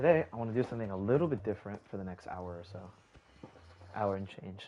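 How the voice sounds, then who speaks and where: Soft-spoken and fairly low-pitched, a man talks at a very fast pace. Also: ordinary pitch variation. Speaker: gaming streamer. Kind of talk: live gameplay commentary. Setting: live stream. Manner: casual, filler-heavy.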